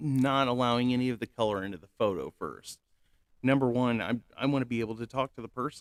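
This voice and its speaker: In a dry, close recording with no echo, a man talks very fast at a medium pitch with ordinary pitch variation and big swings in loudness. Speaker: channel host telling personal story. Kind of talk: personal testimony monologue. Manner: halting, many fillers and restarts.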